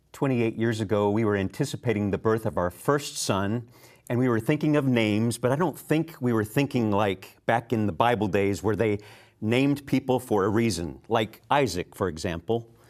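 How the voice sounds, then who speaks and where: A man in an ordinary speaking voice, medium pitch with ordinary variation, moderate pace and very even loudness, on a very clean recording with a silent background. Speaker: TV program host. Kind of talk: TV program presenting. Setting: TV studio.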